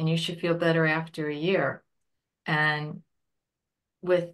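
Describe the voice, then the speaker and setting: A woman's fairly low-pitched voice over a quiet background. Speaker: military widow presenting on grief support. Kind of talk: webinar Q&A. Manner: hesitant, with fillers.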